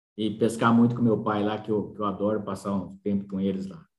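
A man's voice with audible room echo. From São Paulo state interior, Brazil. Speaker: agronomist. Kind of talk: interview.

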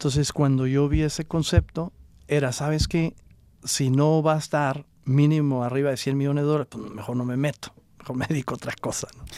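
Speaking at a fairly quick pace, a man uses a fairly high pitch with a dark, mellow tone and monotone, flat intonation. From Mexico, Coahuila (Acuña). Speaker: entrepreneur, juice bar franchise owner. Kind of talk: interview, casual chat.

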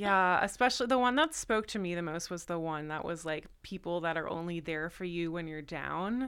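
A woman with a General American accent has a normal speaking voice, a fairly low pitch with ordinary pitch variation and a moderate pace, in a very clean recording with a silent background. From US Northeast (New Jersey). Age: 30s. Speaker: comedy writer. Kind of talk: casual chat.

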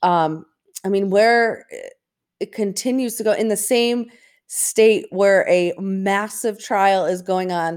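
The woman has a plain, everyday voice. She talks at a fairly slow pace. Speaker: podcast co-host. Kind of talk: casual chat. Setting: remote recording on vacation.

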